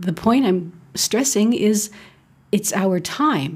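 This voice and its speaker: Very slowly, a woman speaks in a somewhat breathy, dark, mellow tone at a medium pitch with ordinary pitch variation. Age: 50s. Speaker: podcast host. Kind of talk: solo podcast monologue. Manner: animated.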